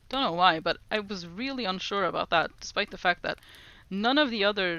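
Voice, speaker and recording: With a Norwegian accent, a woman talks using lively intonation. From Norway. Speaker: streamer. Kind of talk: casual language-learning livestream. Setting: livestream.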